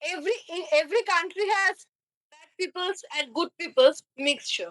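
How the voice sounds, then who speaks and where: In a Bengali accent, a woman speaks at an extremely high pitch with ordinary pitch variation and big swings in loudness, in a dry, close sound with no echo. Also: moderate pace. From India, Kolkata, West Bengal. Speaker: online chat partner. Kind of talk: casual chat. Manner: halting.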